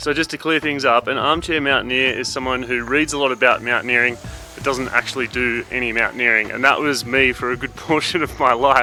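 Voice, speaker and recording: A man speaks at a medium pitch with an Australian accent. His pace is fairly quick and his intonation fairly even, with music in the background. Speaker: mountaineering vlogger. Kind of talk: vlog book review. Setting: outdoors. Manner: casual, conversational.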